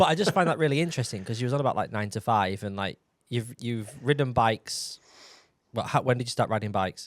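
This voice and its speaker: Talking at a very fast pace, a man with a northern English accent uses lively intonation at a medium pitch. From northern England, Yorkshire or North Lincolnshire. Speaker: podcast host. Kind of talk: casual chat.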